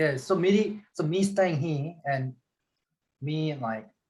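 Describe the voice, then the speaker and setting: A man with a Korean accent speaks with lively intonation and a somewhat breathy voice. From South Korea. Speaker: metal fabricator. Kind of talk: casual chat.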